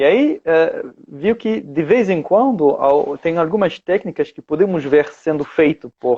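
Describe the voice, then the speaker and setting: A man's high-pitched voice with a dark, mellow tone and a dry, close sound with no echo. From France. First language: French (speaking Portuguese). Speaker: osteopath and teacher. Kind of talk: video call interview. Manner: halting, many fillers.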